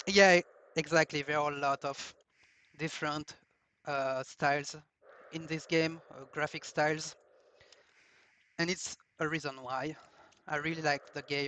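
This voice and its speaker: A man with a French accent talks at a fairly slow pace in a fairly high pitch, his bright, sharp tone delivered in a flat monotone broken by long, frequent pauses. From France. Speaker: speedrunner. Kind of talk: live gameplay commentary. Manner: halting.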